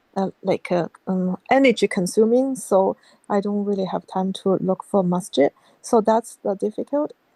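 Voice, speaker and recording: In a Chinese accent, a woman speaks at a medium pitch and a fairly slow pace with lively intonation. Her tone is dark and mellow, and the sound is dry and close with no echo. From China. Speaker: convert asking for advice. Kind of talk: casual chat. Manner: halting.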